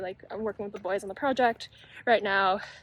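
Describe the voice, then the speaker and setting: A woman mumbles quietly. Her pace is fairly quick. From Canada. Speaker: medical student and YouTuber. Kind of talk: casual vlog talk. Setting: outdoors on campus. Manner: mumbling, quiet; fast.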